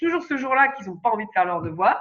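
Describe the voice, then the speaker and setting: Very wide pitch swings in a woman's bright, sharp tone. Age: 30s. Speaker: astro-psychologist and parenting coach. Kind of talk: podcast interview. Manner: hesitant, many fillers.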